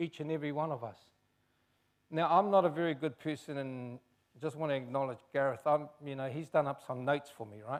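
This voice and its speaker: With a New Zealand accent, a man speaks at a fairly high pitch and a moderate pace, showing ordinary pitch variation. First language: Chinese. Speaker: race relations commissioner. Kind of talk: public talk.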